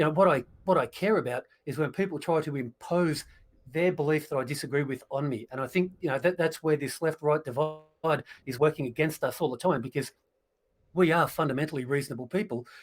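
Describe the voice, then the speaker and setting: Talking at a fairly quick pace, a man with an Australian accent has a fairly high pitch and ordinary pitch variation. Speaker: political commentator. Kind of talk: casual political livestream discussion.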